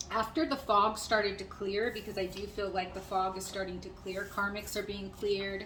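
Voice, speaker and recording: A woman at a medium pitch talks through audible room echo and noticeable background noise. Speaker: tarot reader. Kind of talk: channeled tarot reading. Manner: fast; hesitant with many fillers.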